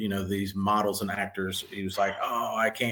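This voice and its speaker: Moderate pace over noticeable background noise. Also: man. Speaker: podcast host. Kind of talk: podcast interview, casual talk.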